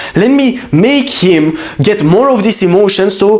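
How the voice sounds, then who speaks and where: A man speaks with a Romanian accent and an animated tone. His pitch swings very widely over noticeable background noise. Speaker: business coach. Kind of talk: motivational talk.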